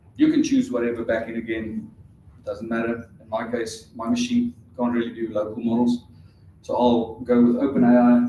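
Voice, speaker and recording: A man's medium-pitched, flat monotone voice with audible echo from the room. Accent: South African. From South Africa. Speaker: conference speaker. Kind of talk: technical talk with live demo. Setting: conference stage with audience. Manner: casual, hesitant with fillers.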